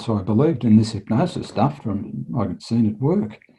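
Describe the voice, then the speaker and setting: This man speaks with an Australian accent at a fairly low pitch and a fairly slow pace. His tone is dark, mellow and somewhat breathy, with ordinary pitch variation. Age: 60s. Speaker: retired police detective and hypnotherapist. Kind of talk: interview storytelling.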